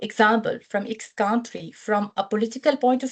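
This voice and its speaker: With an Arabic accent, a woman speaks at a fairly high pitch with fairly even intonation. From Syria. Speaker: humanitarian protection officer, alumna. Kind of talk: webinar testimony. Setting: online webinar. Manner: hesitant, many fillers and repetitions.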